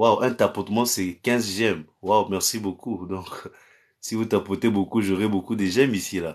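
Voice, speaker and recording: This man's voice sits fairly low and his intonation stays fairly even. He talks at a fairly slow pace against a quiet background. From Cameroon. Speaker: pastor. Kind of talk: live-stream prayer and chat with viewers. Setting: live stream on social media. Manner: repetitive incantatory declarations. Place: home room. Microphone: phone near.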